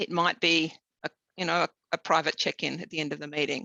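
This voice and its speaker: Recorded with a dry, close sound and no echo, a woman with an Australian accent speaks at a fairly low pitch in a bright, sharp tone. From southern Tasmania, Australia. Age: 50s. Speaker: engineer. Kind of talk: interview. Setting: webinar. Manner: halting, many fillers.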